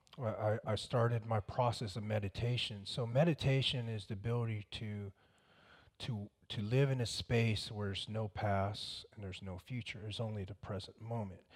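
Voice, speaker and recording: Fairly low-pitched and somewhat breathy, a man speaks at a moderate pace with fairly even intonation. The recording is very clean with a silent background. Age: 40s. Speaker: former special forces soldier. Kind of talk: interview. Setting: studio.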